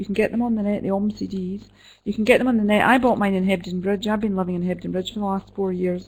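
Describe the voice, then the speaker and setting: A woman with a Scottish accent talks very fast at a medium pitch, somewhat breathy and in a flat, monotone intonation. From Scotland, Glasgow. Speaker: midwife and professor. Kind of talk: Q&A after an online lecture. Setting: web conference.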